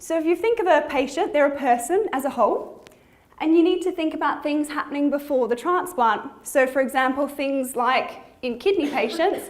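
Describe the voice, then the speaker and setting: A woman with an Australian accent, high in pitch with ordinary pitch variation, amid audible room echo. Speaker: physiotherapist. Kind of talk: conference presentation. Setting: conference hall with audience. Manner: fast.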